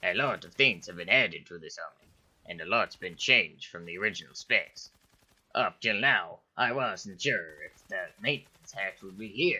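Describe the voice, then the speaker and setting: A man puts on a cartoonish character voice at a medium pitch. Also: moderate pace. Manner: dry, sardonic.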